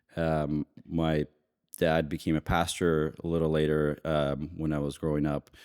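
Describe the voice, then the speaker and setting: A man with a very deep, low voice and a slight Russian accent talks at a very slow pace in a very clean recording with a silent background and a dry, close sound with no echo. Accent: slight Russian-tinged. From US (immigrant from Ukraine at age three). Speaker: investment banker. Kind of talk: casual interview.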